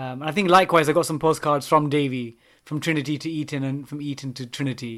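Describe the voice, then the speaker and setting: Very fast and with a London accent, a man speaks at a fairly high pitch with fairly even intonation and big swings in loudness, in a very clean recording with a silent background. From London, England. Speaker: maths teacher. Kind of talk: casual chat.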